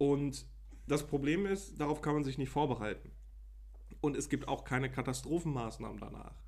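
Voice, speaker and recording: Long pauses break up the speech frequently. Between them, the pace is moderate. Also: man. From Germany, Münsterland (Lembeck, NRW). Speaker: podcast co-host. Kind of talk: casual chat.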